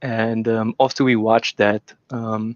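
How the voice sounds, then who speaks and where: At a moderate pace, a man speaks in a medium pitch. His intonation is monotone and flat. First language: not English. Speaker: debate guest, industrial engineer. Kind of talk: casual discussion. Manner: halting, many fillers.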